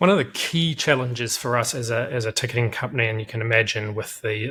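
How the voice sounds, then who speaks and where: This man talks at a very fast pace with a New Zealand accent. His medium-pitched voice has a bright, sharp tone. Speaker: company director. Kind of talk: interview. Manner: hesitant, many fillers.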